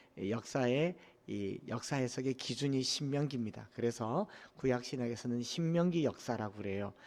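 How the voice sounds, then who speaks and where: This man speaks with a Gyeongsang accent. The recording is very clean, with a silent background. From Korea, Daegu (Gyeongsang region). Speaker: pastor. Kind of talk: sermon.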